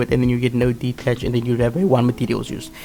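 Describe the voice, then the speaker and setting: There is noticeable background noise in this recording. Over it, a man talks at medium pitch. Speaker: gaming youtuber, card game deck guide. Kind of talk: tutorial. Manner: fast; halting, frequent fillers and self-corrections.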